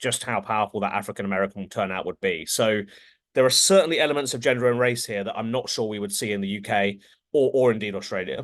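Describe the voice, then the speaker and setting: A man with an English accent at a very fast pace against a quiet background. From England. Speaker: pollster. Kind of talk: interview.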